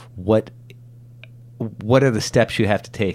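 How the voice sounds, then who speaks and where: A man speaks at a moderate pace in a fairly low pitch. Vocal fry runs through his voice. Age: 40s. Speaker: podcast host. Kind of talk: interview.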